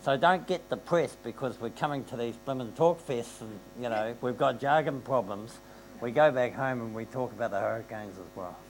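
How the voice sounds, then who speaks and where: Fairly quick speech from a man with a New Zealand accent, medium pitch, ordinary pitch variation and big swings in loudness. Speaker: panelist. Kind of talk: panel discussion. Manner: animated.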